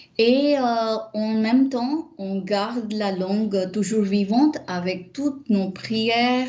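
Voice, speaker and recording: A woman speaking at a very slow pace over noticeable background noise. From India, Mumbai. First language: not French; Indian language (speaking French). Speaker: Sanskrit scholar and teacher. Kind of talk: interview. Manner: hesitant, many fillers.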